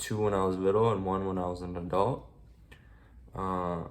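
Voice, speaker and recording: A man speaks with a very deep, low pitch and fairly even intonation at a moderate pace. Audible room echo surrounds his voice. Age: 20s. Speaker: military veteran sharing his life story. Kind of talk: personal testimony vlog. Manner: halting, many fillers.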